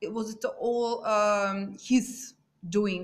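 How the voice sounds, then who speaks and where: The speaker has a non-native accent. The intonation stays fairly even. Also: woman. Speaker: YouTuber true crime commentator. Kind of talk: casual vlog commentary. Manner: halting, many fillers.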